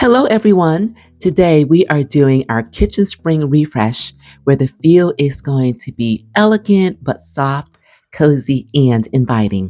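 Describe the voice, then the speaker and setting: A woman with a very deep, low pitch and a dark, mellow tone speaks fairly slowly with very wide pitch swings, in a dry, close sound with no echo. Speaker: home decor vlogger. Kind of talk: voiceover narration. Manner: calm.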